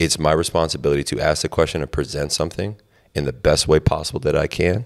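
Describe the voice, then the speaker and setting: Against a quiet background, a man with an American accent speaks fairly quickly in a very deep, low voice with vocal fry and ordinary pitch variation. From Miami, Florida. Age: 20s. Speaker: podcast host and basketball coach; podcast host. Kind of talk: casual chat. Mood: relaxed, reflective. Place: studio. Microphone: handheld.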